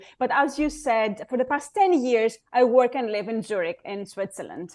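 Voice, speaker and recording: Speaking with a Greek accent, a woman uses a high pitch and lively intonation at a moderate pace. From Greece, Athens. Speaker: board club founder, former lawyer. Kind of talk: interview. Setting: video call.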